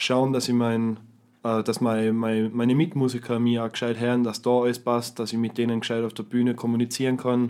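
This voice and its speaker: A man speaks at a fairly quick pace in a Tyrolean accent. His medium-pitched delivery is monotone and flat. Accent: Tyrolean Austrian German. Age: young. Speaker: guitarist and guitar teacher. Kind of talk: casual chat.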